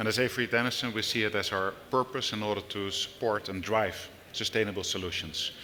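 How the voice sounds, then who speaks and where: Speaking with a Dutch accent, a man uses a fairly low pitch and fairly even intonation at a moderate pace. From Netherlands. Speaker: business executive. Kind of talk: panel discussion. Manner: halting, many fillers.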